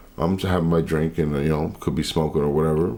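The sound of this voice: A man speaks fast at an extremely low pitch, raspy and dark, mellow in tone. His intonation stays fairly even.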